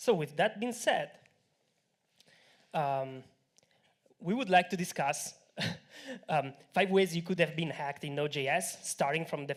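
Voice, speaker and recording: A man with an Italian accent, moderate pace and ordinary pitch variation. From Italy. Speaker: tech company co-founder. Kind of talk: conference talk. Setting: stage with audience.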